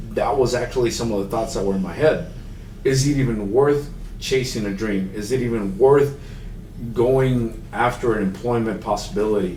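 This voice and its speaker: The speaker has a Spanish accent, and audible room echo surrounds the voice. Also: man. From Mexico, raised in Houston, Texas. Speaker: accessibility consultant. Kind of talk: podcast interview. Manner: casual, halting.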